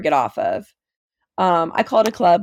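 In an American accent and a plain, everyday voice, the speaker uses lively intonation at a moderate pace, the sound dry and close with no echo on a very clean recording with a silent background. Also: woman. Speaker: college student sharing mental health story. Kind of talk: personal testimony in casual interview.

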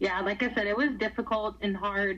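Her accent is Texan. The woman's medium pitch varies in an ordinary way. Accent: Texan American. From Texas, Houston. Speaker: high school softball coach. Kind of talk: interview.

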